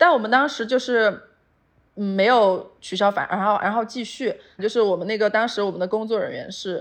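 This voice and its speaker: Against a quiet background, a woman with a plain, everyday voice speaks at a moderate pace, fairly high in pitch with ordinary pitch variation. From Sichuan, China. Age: 30s. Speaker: outdoor lifestyle brand founder. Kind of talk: interview conversation. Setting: remote call.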